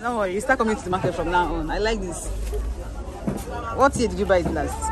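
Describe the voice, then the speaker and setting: Against crowd noise in the background, a woman speaks at a very fast pace in dry sound with no echo. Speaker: vlogger filming her husband shopping. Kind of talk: casual vlog chat. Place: market. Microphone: phone near.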